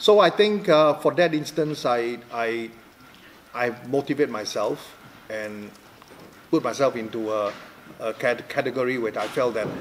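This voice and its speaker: The intonation is lively. There is noticeable background noise. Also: man. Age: 60s. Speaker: professional darts player. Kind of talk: interview answer. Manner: hesitant.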